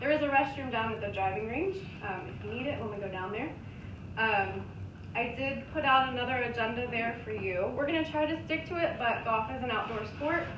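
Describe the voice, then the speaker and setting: A woman's high-pitched voice with an American accent, fairly quick and full of lively intonation, over noticeable background noise. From Cincinnati West Side, Ohio; Ohio. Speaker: golf instructor. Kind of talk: class instruction. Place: classroom. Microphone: camera far.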